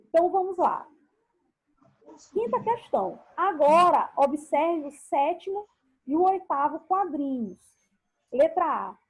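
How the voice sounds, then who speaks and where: Speaking at a very slow pace with long, frequent pauses, a woman with an extremely high-pitched voice uses lively intonation. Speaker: school teacher. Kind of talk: online class lesson.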